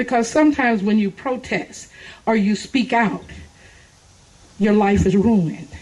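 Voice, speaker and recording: An animated woman speaks at a fairly high pitch with an American accent and a somewhat breathy voice. Her pace is moderate. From Texas. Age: 60s. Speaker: political speaker. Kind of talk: political speech. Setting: outdoor park event with audience.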